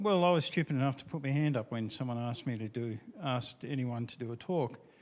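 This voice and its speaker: A man with an Australian accent speaks at a medium pitch. His pace is very fast. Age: 50s. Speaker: IT engineer, retro computing enthusiast. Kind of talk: conference talk.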